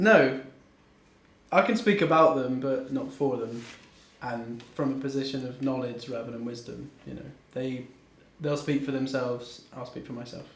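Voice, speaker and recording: With a strong Bristolian accent, a man at a medium pitch talks at a moderate pace with long, frequent pauses, ordinary pitch variation and big swings in loudness, amid audible room echo. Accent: strong West Country (Bristolian). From Bristol, West Country England. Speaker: rapper. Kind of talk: interview.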